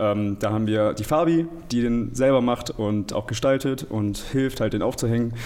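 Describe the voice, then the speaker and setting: Over noticeable background noise, a man talks at a moderate pace and medium pitch, with ordinary pitch variation. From Germany, Aachen. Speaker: student council member. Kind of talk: casual interview.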